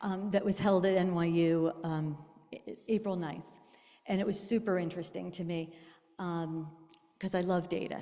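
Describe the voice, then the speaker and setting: A soft-spoken woman's fairly low, dark, mellow voice, monotone and flat, at a moderate pace broken by long, frequent pauses. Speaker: artist and presenter. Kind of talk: presentation talk. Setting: room with live audience, amplified. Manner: hesitant, many fillers. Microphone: too quiet at first.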